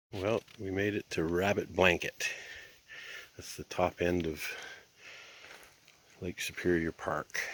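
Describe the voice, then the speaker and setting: Speaking with a Canadian accent, a man's very deep, low voice moves at a very slow pace with long, frequent pauses, monotone, flat intonation and big swings in loudness, in a dry, close sound with no echo. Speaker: camping vlogger. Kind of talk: casual vlog narration. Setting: outdoors at a campsite.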